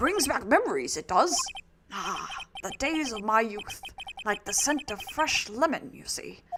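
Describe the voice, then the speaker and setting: A gruff, high-pitched put-on character voice at a moderate pace. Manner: nostalgic.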